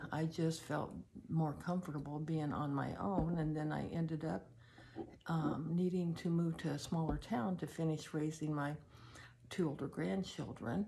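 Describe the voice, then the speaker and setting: A woman's very deep, low voice at a fairly slow pace, with ordinary pitch variation and audible room echo. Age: 70s. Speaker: personal storyteller. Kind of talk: personal testimony. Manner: halting, with many fillers.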